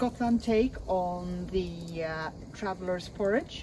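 Noticeable background noise is present throughout. The speaker is a woman. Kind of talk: interview answer. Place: open country. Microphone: camera far.

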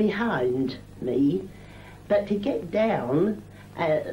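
A woman speaks at a very slow pace with lively intonation. Noticeable background noise sits behind her. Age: 80s+. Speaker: retired seamstress. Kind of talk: oral history interview answer. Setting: 1978 film recording.

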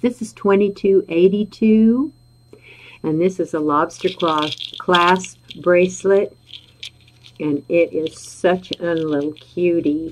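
A woman's fairly low voice at a very slow pace, with long, frequent pauses, ordinary pitch variation, and light background noise. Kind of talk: live sales presentation. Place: home room. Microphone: webcam.

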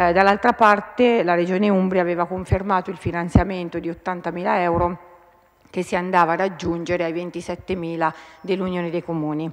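A woman's fairly low voice, monotone and flat, at a moderate pace over a quiet background. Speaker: regional councillor. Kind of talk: parliamentary question time, reading out a question. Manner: hesitant, many filler pauses. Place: hall. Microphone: podium.

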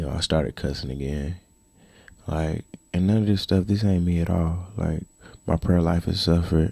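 Over a quiet background, a man speaks at a moderate pace in a very deep, low voice with a dark, mellow tone. His intonation is fairly even, the sound is dry with no echo, and his pauses are long and frequent. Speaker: vlogger. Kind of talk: casual talk to camera. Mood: reflective, earnest. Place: home room. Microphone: handheld.

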